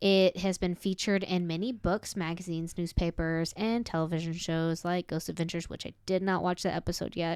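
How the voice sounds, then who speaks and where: On a very clean recording with a silent background, a woman with an American accent speaks at a fairly quick pace, barely pausing, in a fairly low pitch and a monotone, flat intonation. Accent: southern US accent coming out. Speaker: podcast host. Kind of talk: casual chat, telling a paranormal story.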